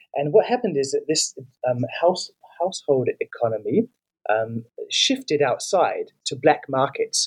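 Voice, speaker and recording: A man with a New Zealand accent at a moderate pace, in a dry, close sound with no echo. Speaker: author and migration researcher. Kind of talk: interview.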